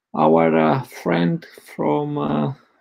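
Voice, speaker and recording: The background is quiet while a man talks. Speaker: event host. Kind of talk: speaker introduction. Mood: warm, laughing. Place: home room.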